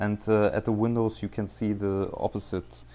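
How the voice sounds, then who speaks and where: A man speaks in a German accent at a fairly low pitch, his tone dark and mellow. His intonation is monotone and flat. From Germany. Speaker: gaming video creator. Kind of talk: gameplay commentary. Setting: home recording with microphone. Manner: halting, many fillers.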